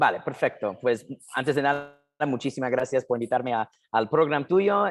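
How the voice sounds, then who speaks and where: A man speaks with a non-native accent. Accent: foreign accent in Spanish. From US, New Jersey. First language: English (speaking Spanish). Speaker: documentary filmmaker. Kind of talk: interview. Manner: halting.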